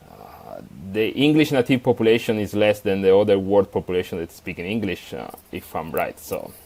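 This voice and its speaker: Someone with an Italian accent talks at a fairly quick pace, with ordinary pitch variation and big swings in loudness. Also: man, fairly low pitch for a man. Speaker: software developer, tool author. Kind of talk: podcast interview. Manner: halting, many fillers.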